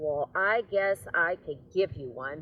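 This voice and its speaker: The delivery is a put-on character voice, unfolding at a fairly slow pace. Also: female-sounding voice, fairly low pitch for a woman. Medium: read story. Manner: gruff, curt.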